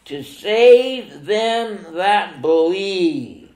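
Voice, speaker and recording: A man talks in a high voice with ordinary pitch variation. Room echo is audible around him. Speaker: pastor. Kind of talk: sermon. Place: church. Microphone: camera far.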